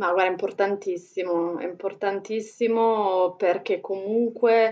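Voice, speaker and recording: This is a woman's voice. Her intonation stays fairly even. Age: 40s. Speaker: entrepreneur and foundation founder. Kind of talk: interview conversation.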